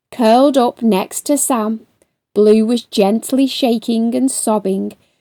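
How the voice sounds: Over a quiet background, the speaker uses a natural reading voice with ordinary pitch variation.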